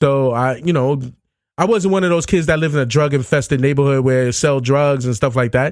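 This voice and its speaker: At a fairly quick pace, a man with a New York accent talks at a fairly high pitch and very even loudness. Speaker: podcaster. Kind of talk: casual chat. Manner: fast.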